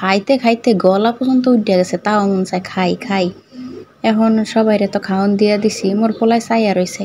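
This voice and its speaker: A woman's fairly high voice keeps a mostly level intonation. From Madaripur, Bangladesh. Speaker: vlogger. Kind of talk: cooking vlog.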